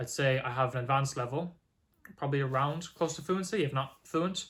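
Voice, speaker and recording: A bright, sharp tone comes through in an Irish accent with ordinary pitch variation. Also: man. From Ireland. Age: 20s. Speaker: language learner vlogger. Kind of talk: casual vlog monologue. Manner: casual with filler words.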